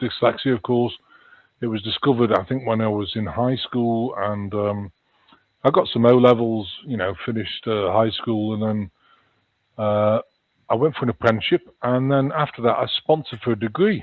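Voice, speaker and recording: A man speaks with a slight Liverpool accent. His medium pitch shows ordinary variation. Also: moderate pace. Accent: slight Liverpool twang. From northern England, Chester near Liverpool. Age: 60s. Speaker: spiritual healer and author. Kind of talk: interview storytelling. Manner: halting, many fillers.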